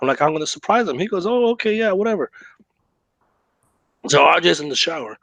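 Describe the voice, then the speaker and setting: A man speaks in an animated tone with very wide pitch swings. The background is quiet and the sound dry and close, with no echo. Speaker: podcast co-host. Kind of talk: casual chat. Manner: animated storytelling.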